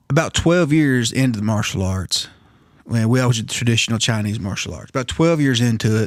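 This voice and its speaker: A plain, everyday voice moves at a fairly quick pace with ordinary pitch variation and big swings in loudness. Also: man, medium pitch for a man. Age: 40s. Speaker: martial arts and self-defense instructor. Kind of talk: storytelling in a casual podcast chat.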